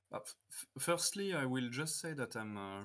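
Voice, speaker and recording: In a very clean recording with a silent background, a man with a French accent speaks with lively intonation. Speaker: tournament judge. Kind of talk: interview. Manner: halting, many filler sounds.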